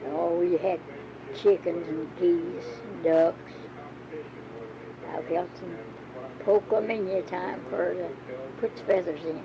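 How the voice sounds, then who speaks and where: A woman talks at a fairly slow pace in a fairly low pitch, with long, frequent pauses and big swings in loudness. Noticeable background noise runs behind her. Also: ordinary pitch variation. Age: 80s+. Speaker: grandmother recalling rural life. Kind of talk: interview answer, reminiscing about old ways of life.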